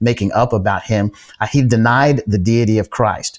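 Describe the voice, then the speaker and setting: A man speaks in a plain, everyday voice at medium pitch. His pace is fairly quick, and his pitch varies in an ordinary way. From upstate New York and Tulsa, Oklahoma. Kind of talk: interview.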